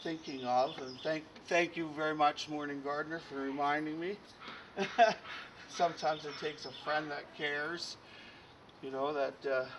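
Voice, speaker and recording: Noticeable background noise sits behind a man's voice. His intonation is fairly even, with long, frequent pauses. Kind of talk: casual tutorial commentary. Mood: relaxed, chuckling. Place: garden. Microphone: camera far.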